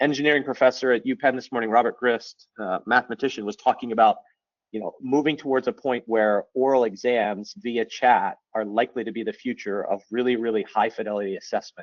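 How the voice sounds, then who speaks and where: This voice carries an American accent. The delivery moves fairly quickly. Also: man, medium pitch for a man. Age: 40s. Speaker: teacher and edtech presenter. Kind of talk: webinar presentation. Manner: fast; animated.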